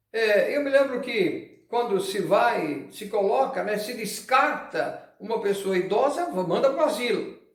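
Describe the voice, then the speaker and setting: An extremely high-pitched man talks fairly slowly with hardly any pauses. His pitch swings very widely, and audible room echo surrounds him. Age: 70s. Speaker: pastor. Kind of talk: sermon.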